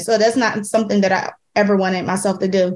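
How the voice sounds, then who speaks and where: In a very clean recording with a silent background, a woman with a Philadelphia accent and a medium pitch talks at a very fast pace with fairly even intonation. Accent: Philadelphia, noticeable. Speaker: chef. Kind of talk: casual interview.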